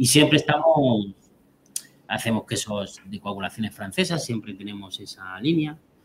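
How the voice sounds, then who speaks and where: At a moderate pace, the somewhat breathy voice has lively intonation and big swings in loudness. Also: man, medium pitch for a man. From Albacete, Spain. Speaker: cheesemaker. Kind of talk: interview.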